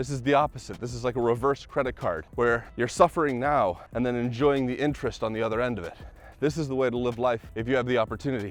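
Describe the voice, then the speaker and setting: A man talks at a very fast pace with a medium pitch. His pitch varies in an ordinary way, over a quiet background. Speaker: vlogger and podcaster. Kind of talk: walking vlog monologue. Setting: outdoors, walking in the hot sun. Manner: casual, conversational with fillers.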